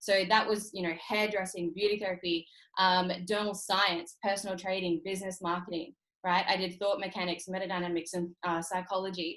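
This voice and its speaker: A woman with an Australian accent at a medium pitch, talking at a fairly quick pace. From Australia, North Queensland. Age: 30s. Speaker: entrepreneur and trading mentor. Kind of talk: motivational webinar talk. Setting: online video call. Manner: energetic, emphatic.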